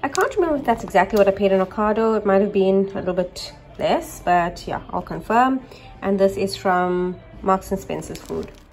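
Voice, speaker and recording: Over faint music in the background, a woman talks at a fairly quick pace with ordinary pitch variation. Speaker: home vlogger. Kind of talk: casual vlog chat. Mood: upbeat, excited. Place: kitchen. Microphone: phone near.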